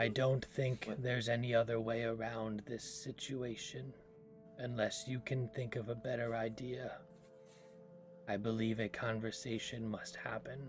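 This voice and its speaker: With clear music in the background, a man does a put-on character voice with fairly even intonation. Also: medium pitch for a man, moderate pace. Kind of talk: formal fantasy diction. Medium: actual play. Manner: formal, measured.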